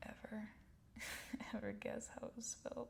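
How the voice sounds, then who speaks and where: Whispering at a fairly slow pace. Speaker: ASMR artist painting on camera. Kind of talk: relaxing ASMR painting tutorial. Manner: soft-spoken, slow.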